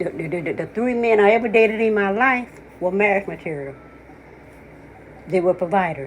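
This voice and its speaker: An animated woman at a medium pitch talks at a fairly quick pace, with ordinary pitch variation and long, frequent pauses. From US South. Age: 60s. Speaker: commentator. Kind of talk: casual chat.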